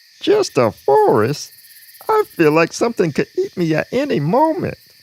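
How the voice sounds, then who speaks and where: Fairly high pitch and a moderate pace in a put-on character voice. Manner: nervous, panicky.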